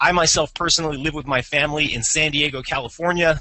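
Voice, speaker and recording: The tone is energetic as a man talks at a fairly quick pace. His pitch is fairly high. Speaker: marketing company CEO, webinar host. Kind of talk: webinar presentation. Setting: live webinar, phone line. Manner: fast.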